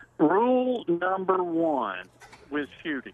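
Someone speaks at a very slow pace in a Southern US accent. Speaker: outdoors reporter. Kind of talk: field report. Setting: phone call.

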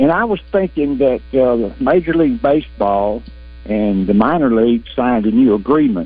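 Lively intonation at a very even loudness. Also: man, medium pitch for a man, moderate pace. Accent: Southern US. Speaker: radio caller. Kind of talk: call-in sports talk radio. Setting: phone call.

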